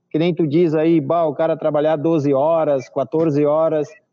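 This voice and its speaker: A man's fairly high voice at a fairly slow pace, with music in the background. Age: 40s. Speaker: organic farmer. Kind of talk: casual interview on a live stream.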